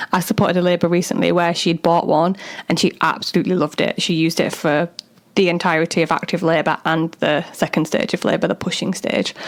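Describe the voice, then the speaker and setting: The speech comes very fast, with very even loudness and fairly even intonation. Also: woman, fairly low pitch for a woman. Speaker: doula and podcast host. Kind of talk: solo podcast talk. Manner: casual, chatty.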